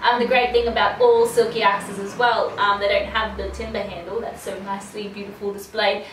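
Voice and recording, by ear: The recording carries audible room echo. The voice has a fairly bright tone. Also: woman.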